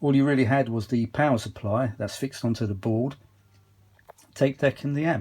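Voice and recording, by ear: This man speaks at a moderate pace in a medium pitch, his tone slightly mellow. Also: ordinary pitch variation.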